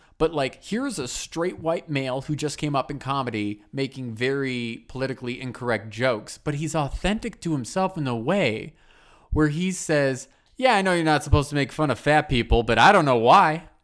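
In an American accent, a man speaks at a moderate pace with a plain, everyday voice. His pitch is fairly high with ordinary pitch variation, on a very clean recording with a silent background. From US Midwest. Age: 20s. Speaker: podcast host. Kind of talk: casual chat.

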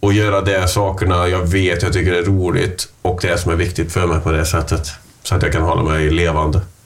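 In a room with audible echo and music in the background, a man with a very deep, low pitch speaks at a moderate pace with fairly even intonation. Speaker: podcast co-host. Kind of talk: casual chat.

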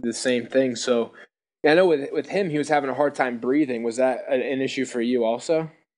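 Here a man talks at a fairly quick pace with a medium pitch. It is an unremarkable speaking voice. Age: 20s. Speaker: podcast host, former high school football player. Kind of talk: interview. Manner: casual, filler-heavy.

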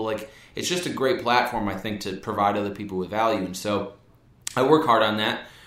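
An energetic man with an American accent talks at medium pitch and ordinary pitch variation. Audible room echo and noticeable background noise are present. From Wisconsin (Brookfield, near Milwaukee). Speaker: sales entrepreneur. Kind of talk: casual interview.

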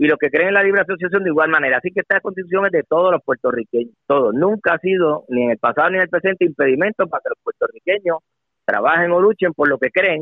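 A man speaks at a very fast pace in a high voice, with ordinary pitch variation. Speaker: politician. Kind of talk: radio interview. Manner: halting.

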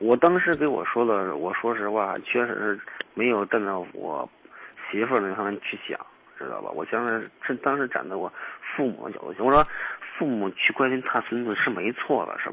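Amid noticeable background noise, a man with a medium-pitched voice and lively intonation talks at a moderate pace with long, frequent pauses. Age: 30s. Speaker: caller seeking relationship advice. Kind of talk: phone-in advice call. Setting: phone call. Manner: halting.

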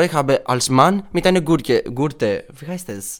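A man with a Greek accent, lively intonation and a fairly slow pace. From Greece. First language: Greek (speaking German). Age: 20s. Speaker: drag queen. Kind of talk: interview. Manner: halting.

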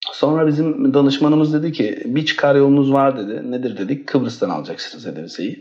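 His pace runs fairly quick. This man's voice sits at a medium pitch. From Istanbul, Turkey. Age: 30s. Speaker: education consultancy director. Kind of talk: casual interview. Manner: hesitant, many fillers.

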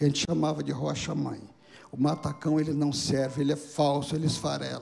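Noticeable noise sits in the background. Over it, a man talks at a moderate speed. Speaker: pastor. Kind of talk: sermon. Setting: church service.

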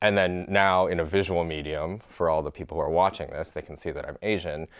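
At a fairly quick pace, a man with an American accent and an unremarkable speaking voice uses ordinary pitch variation. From Michigan, US Midwest. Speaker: podcast host. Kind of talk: casual interview chat.

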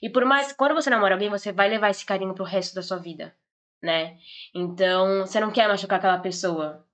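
With a Brazilian accent, a woman speaks at a fairly quick pace, her medium pitch varying in an ordinary way. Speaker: podcast guest. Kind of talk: casual chat.

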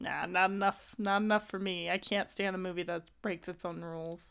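The recording is very clean, with a silent background. A plain, everyday voice speaks at a moderate pace. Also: woman. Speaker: podcast host. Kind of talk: casual chat.

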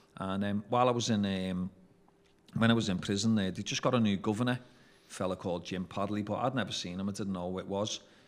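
With a Liverpool accent, the speaker races along at a very fast pace while keeping fairly even intonation. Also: man, fairly low pitch for a man. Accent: Scouse (Liverpool). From Liverpool, England. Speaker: former drug dealer. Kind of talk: interview storytelling. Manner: hesitant with fillers.

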